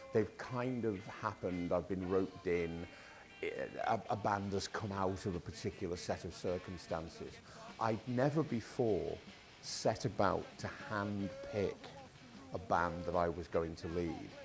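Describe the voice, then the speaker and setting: Speaking at a fairly slow pace with a Liverpool accent, this voice has ordinary pitch variation and long, frequent pauses, with music in the background. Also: man, fairly low pitch for a man. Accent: Scouse. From Liverpool, Merseyside. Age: 50s. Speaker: band leader, musician. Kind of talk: interview.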